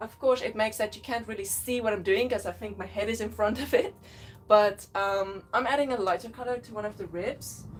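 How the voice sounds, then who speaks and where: With vocal fry and big swings in loudness, a woman speaks in a fairly high voice using fairly even intonation. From South Africa, Western Cape. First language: Afrikaans. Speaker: artist. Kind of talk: casual live-stream chat while painting. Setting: live stream at home. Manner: halting, with fillers.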